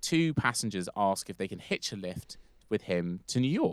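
A man with an ordinary speaking voice, fairly low pitch and lively intonation, at a moderate pace, in a dry, close sound with no echo. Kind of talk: casual chat with storytelling.

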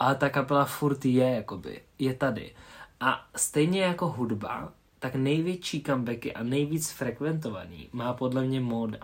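A man talks at a fairly slow pace with a medium pitch and ordinary pitch variation. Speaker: podcast co-host. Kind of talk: casual chat.

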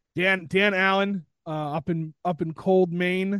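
A man's voice with ordinary pitch variation. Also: dry, close sound with no echo. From New England (Westerly, Rhode Island). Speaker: podcaster. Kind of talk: casual chat.

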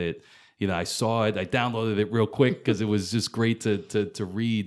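Using a normal speaking voice, a man with an American accent and fairly low pitch speaks at a moderate pace on a very clean recording with a silent background. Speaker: podcast host and coach. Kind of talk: casual interview.

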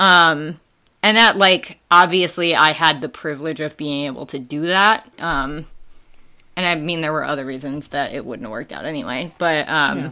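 In a Midwestern US accent, a woman speaks with a very deep, low voice. Her pitch varies in an ordinary way. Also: moderate pace. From Wisconsin, US Midwest. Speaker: school staff, student activities coordinator. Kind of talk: casual conversational interview.

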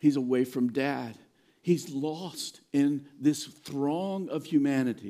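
A man speaks at a fairly high pitch with a dark, mellow tone. His pace is very slow, with ordinary pitch variation. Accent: American. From Virginia. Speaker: pastor. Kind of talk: sermon. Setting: church.

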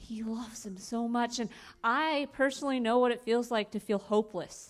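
A woman with an American accent and a normal speaking voice talks at a fairly high pitch and a moderate pace, with ordinary pitch variation, on a very clean recording with a silent background. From US Midwest, Fort Wayne Indiana. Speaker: missionary. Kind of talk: testimony.

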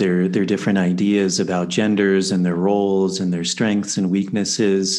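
At a moderate pace, a man talks in a fairly low pitch with an unremarkable speaking voice. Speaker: podcast host. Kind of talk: casual interview. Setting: video call.

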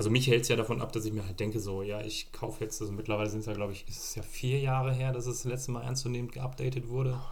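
Speaking at a very fast pace with hardly any pauses, a man sounds somewhat breathy. His intonation is monotone and flat, and the room echo is audible. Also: medium pitch for a man. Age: 30s. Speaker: tech podcast co-host, former Apple retail specialist. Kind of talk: casual chat.

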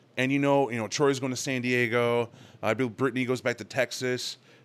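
On a very clean recording with a silent background, a man with a normal speaking voice talks at a fairly quick pace and medium pitch. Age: 30s. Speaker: gamer returning from a convention. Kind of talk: casual chat.

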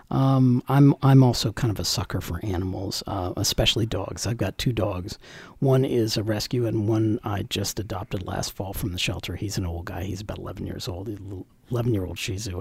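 Fairly low in pitch and somewhat breathy, a man talks at a fairly quick pace with ordinary pitch variation. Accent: American. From Northern Virginia, US. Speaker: county election director. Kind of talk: interview. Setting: studio.

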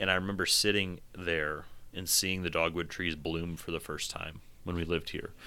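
A man's very deep, low voice with a bright, sharp tone, flat and monotone, at a moderate pace. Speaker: podcast host. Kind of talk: casual podcast conversation about poetry.

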